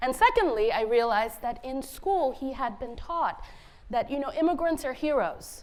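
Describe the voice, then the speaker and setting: A woman with a high voice speaks at a moderate pace, her intonation lively, with room echo audible. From India (Bengali), then Cambridge, Massachusetts from age 10. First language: Bengali. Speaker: author. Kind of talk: conference talk.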